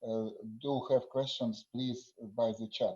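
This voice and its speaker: A fairly slow delivery in a Russian accent. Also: man. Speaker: conference session chair. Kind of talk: conference moderation. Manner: halting.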